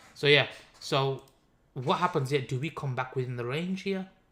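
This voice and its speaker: With a Birmingham accent, a man talks at a moderate pace in a fairly high pitch, his tone bright and sharp and his pitch variation ordinary. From Birmingham, England. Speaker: crypto trader and live stream host. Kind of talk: live stream trading analysis. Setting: live stream. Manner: casual, conversational.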